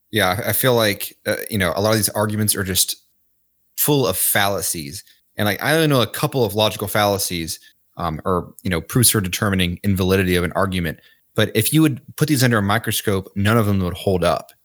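On a very clean recording with a silent background, a man with an American accent talks fairly quickly in an unremarkable speaking voice, fairly low in pitch with ordinary pitch variation. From Kentucky, US. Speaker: seminarian.

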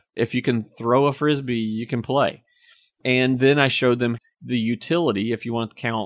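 A man talks at medium pitch and a fairly quick pace, with ordinary pitch variation. The sound is dry and close with no echo, over a quiet background. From Apex, North Carolina. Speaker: town mayor. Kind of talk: casual interview. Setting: studio.

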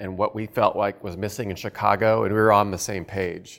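In a very clean recording with a silent background, a man talks at a moderate pace. He has an unremarkable speaking voice with a fairly low pitch. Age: 50s. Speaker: pastor and church planter. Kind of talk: talk to fellow church planters.

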